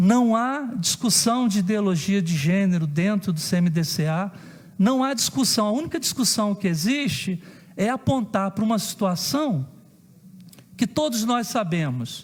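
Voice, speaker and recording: A man with a high pitch speaks at a fairly slow pace, his intonation lively and his loudness very even. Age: 50s. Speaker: council president. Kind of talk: public hearing statement. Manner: formal.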